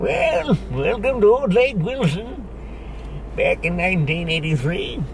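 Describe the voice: A man uses a put-on character voice at a very slow pace, with clear background noise behind him.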